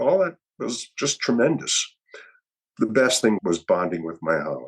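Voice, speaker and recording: A man speaks at a fairly slow pace and medium pitch. His voice shows vocal fry and very wide pitch swings. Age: 70s. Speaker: retired football player and judge. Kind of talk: interview.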